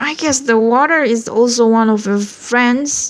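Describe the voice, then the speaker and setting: A woman's high-pitched, put-on character voice. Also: moderate pace. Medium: read story.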